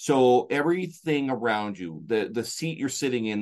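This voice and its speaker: Lively intonation marks this man's ordinary speaking voice. He speaks at a moderate pace and a medium pitch. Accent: Canadian. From Canada, rural. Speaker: motivational speaker and coach. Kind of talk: interview. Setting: remote call.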